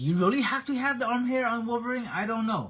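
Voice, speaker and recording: This is a man speaking. His voice sits high in pitch. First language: not English. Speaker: action figure painter and hobby streamer. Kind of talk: live-streamed tutorial chat. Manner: casual, halting with frequent repetitions.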